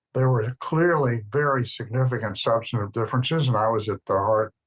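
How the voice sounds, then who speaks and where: Somewhat breathy, a man with an American accent talks at a fairly quick pace. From US South, Birmingham, Alabama. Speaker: former ambassador. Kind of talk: interview.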